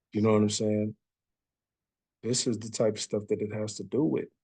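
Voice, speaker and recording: A man's medium-pitched voice, dark and mellow in tone, at a moderate pace, with a dry, close sound and no echo. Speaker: bible teacher. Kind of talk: bible study teaching. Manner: casual, conversational.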